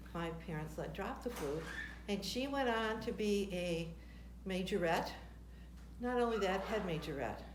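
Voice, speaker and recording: A woman with an American accent and lively intonation, long, frequent pauses, audible room echo and noticeable background noise. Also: medium pitch for a woman, moderate pace. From US Midwest (Michigan, Detroit). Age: 70s. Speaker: retired tap dancer, grandmother. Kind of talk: casual interview.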